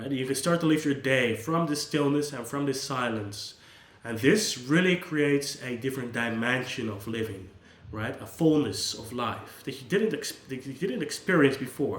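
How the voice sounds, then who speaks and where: With a Dutch accent, a man speaks at a moderate pace and medium pitch with ordinary pitch variation, amid noticeable background noise and audible room echo. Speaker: psychologist. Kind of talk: unscripted monologue. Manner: casual, with hesitations and restarts.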